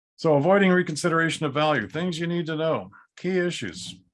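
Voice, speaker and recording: Keeping a moderate pace, a man talks in a fairly high pitch. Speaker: appraisal educator. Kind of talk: webinar lecture. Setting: video call.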